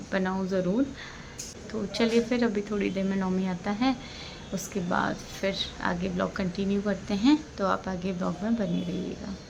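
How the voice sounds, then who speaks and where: Fairly slow speech with ordinary pitch variation amid noticeable background noise. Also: woman. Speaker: family vlogger. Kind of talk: casual vlog talk.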